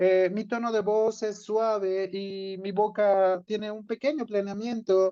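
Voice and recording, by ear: The voice moves at a slow pace with little pitch movement and a dark, mellow tone.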